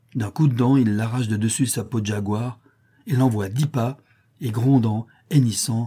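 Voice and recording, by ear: Natural-voiced reading aloud with fairly even intonation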